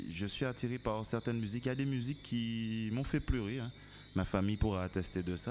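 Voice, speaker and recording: In a very clean recording with a silent background, a man talks at a fairly low pitch and a fairly quick pace, with ordinary pitch variation. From Martinique. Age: 30s. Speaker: musician. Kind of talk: casual interview chat. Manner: hesitant, many fillers.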